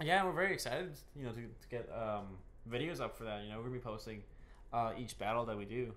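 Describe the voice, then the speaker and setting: A man's medium-pitched voice at a very fast pace, lively in intonation, with audible room echo. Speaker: podcast co-host and gaming YouTuber. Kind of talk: casual podcast chat. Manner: halting, many repeated words.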